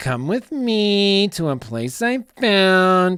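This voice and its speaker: A female-sounding put-on character voice at medium pitch, very slow pace, very clean recording with a silent background. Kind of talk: affected influencer voice. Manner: mocking.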